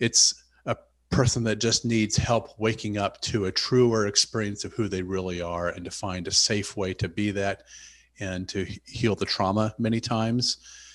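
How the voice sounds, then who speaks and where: A man with an American accent speaks at a moderate pace in a fairly low pitch, with fairly even intonation over a quiet background. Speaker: physician and author. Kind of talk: interview.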